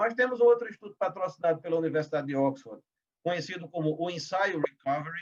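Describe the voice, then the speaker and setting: His intonation rises and falls in a lively way. This man's voice sits high. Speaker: legal professional panelist. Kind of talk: webinar presentation. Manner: fast; halting, many fillers.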